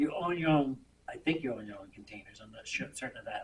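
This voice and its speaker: This man speaks with a fairly high pitch. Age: 70s. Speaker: waste industry businessman addressing town board. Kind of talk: public meeting presentation. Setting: town selectboard meeting.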